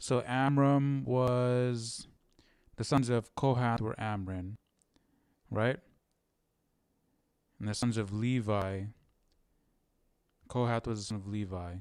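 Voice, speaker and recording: A very slow, medium-pitched man with long, frequent pauses and fairly even intonation, on a very clean recording with a silent background. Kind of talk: casual Bible study commentary. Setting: live stream.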